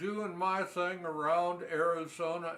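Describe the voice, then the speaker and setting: At a very slow pace, a man with a high pitch speaks with fairly even intonation amid audible room echo. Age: 70s. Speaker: storyteller. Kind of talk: storytelling narration. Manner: folksy.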